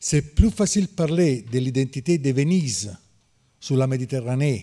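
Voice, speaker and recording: A dark, mellow tone with lively intonation comes through in an Italian accent against a quiet background. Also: man. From Naples, Italy. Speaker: historian. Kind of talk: panel discussion. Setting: stage with audience. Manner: halting. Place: classroom. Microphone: podium.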